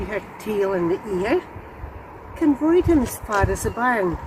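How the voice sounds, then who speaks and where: With a Scottish accent, a woman talks fairly slowly at a fairly high pitch with very wide pitch swings, over noticeable background noise. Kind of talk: poetry reading.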